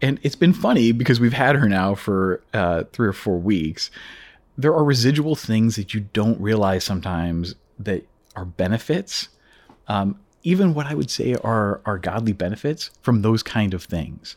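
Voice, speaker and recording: This speaker has an American accent, lively intonation and a moderate pace. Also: man, fairly low pitch for a man. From US Midwest, Chicago area. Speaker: insurance company CEO. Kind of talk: casual interview.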